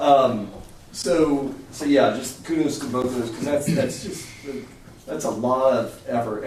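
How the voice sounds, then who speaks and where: With audible room echo and noticeable background noise, a man with an American accent talks at a moderate pace in a fairly high voice with ordinary pitch variation. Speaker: city council meeting chair. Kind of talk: council meeting.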